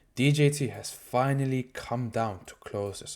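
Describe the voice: Speaking at medium pitch, a man has a slightly mellow tone and ordinary pitch variation.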